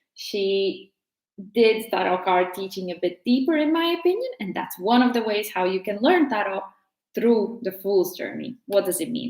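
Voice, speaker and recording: A woman with a Latvian accent, medium in pitch, with lively intonation at a moderate pace. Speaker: tarot teacher. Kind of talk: casual tutorial.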